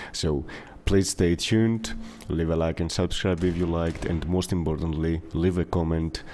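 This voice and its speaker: A man's very deep, low voice with a dark, mellow tone, a Greek accent and a moderate pace. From Greece. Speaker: gaming YouTuber. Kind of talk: casual video commentary. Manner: hesitant, many fillers.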